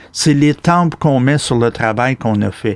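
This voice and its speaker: A man speaks at a fairly slow pace with lively intonation. The sound is dry and close, with no echo. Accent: Quebec. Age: 60s. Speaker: outdoor podcast host. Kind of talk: interview. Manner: animated.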